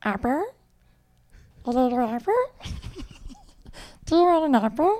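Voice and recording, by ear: Using a put-on character voice, a female-sounding speaker talks at high pitch and a moderate pace with long, frequent pauses.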